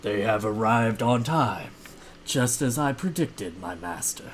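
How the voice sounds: A man does a guttural, put-on character voice at a medium pitch. Clear background noise runs behind him. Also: moderate pace.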